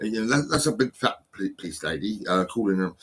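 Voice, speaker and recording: A man speaks at a fairly low pitch. His intonation is lively. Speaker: vlogger with mental health history. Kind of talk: casual monologue vlog. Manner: halting, many fillers and repetitions; nervous-sounding.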